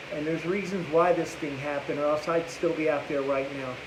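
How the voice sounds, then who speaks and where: A man speaks at a very fast pace. Noticeable background noise and audible room echo surround him. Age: 60s. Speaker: recovering addict. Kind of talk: testimony. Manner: halting.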